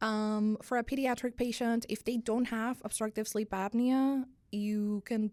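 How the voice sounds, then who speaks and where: A woman's fairly high voice in a dark, mellow tone with a Spanish accent and ordinary pitch variation, in a very clean recording over a silent background. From Dominican Republic. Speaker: sleep medicine physician. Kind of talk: podcast interview.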